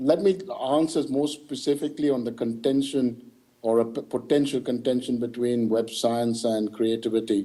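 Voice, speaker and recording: With a Tamil accent and music playing behind him, a man talks at a moderate pace in a medium pitch with ordinary pitch variation. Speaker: keynote speaker. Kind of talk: Q&A answer. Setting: video link to conference hall.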